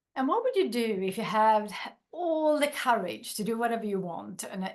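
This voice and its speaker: The speaker has a Swedish accent. The intonation is lively. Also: woman. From Sweden. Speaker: workshop facilitator and business founder. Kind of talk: workshop.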